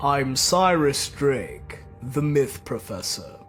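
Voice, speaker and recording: Clear music plays in the background. A put-on character voice speaks at a very slow pace. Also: man, fairly high pitch for a man. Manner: haughty, scornful.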